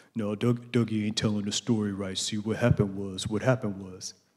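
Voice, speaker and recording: A man puts on a character voice at a fairly low pitch. He speaks at a fairly quick pace in a monotone, flat intonation. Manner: insistent, chatty.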